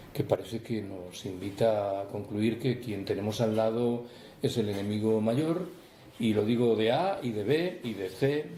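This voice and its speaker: A man speaks with ordinary pitch variation, his voice carrying audible room echo and noticeable background noise. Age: 60s. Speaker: author. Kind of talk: book talk Q&A. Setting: public talk with audience.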